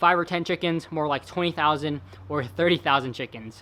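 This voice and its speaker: A man's fairly high-pitched, bright and sharp voice with a Californian accent, on a very clean recording with a silent background. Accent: General American (Californian). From Northern California (Galt, near Sacramento). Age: 20s. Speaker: fitness vlogger. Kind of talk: casual vlog talk to camera. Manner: casual, chatty.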